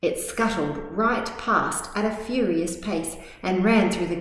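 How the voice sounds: The voice reads aloud naturally. Pitch moves up and down by an ordinary amount.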